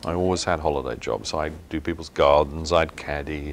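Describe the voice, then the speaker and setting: A man speaks with an English accent at a moderate pace. His pitch is very deep and low. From southern England, West Sussex. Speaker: company executive. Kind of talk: interview.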